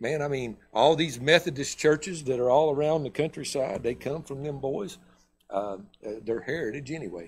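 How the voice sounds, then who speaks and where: Somewhat breathy speech with a Southern US accent moves at a moderate pace with ordinary pitch variation over light background noise. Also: man, fairly high pitch for a man. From US South. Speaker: pastor. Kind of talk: sermon. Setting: church. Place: church.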